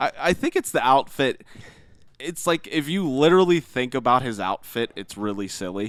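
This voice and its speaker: Speaking with a Pittsburgh accent, a man's pitch swings very widely. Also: medium pitch for a man, moderate pace, dry, close sound with no echo. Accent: Pittsburgh American. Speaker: gaming podcast co-host. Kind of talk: casual chat.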